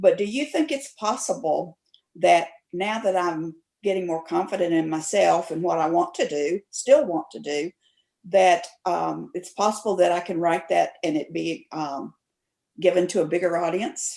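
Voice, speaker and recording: With an American accent, a woman speaks in a fairly low voice with vocal fry. Her tone is dark and mellow, with ordinary pitch variation. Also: moderate pace. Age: 60s. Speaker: memoir writer, workshop participant. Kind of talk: asking a question.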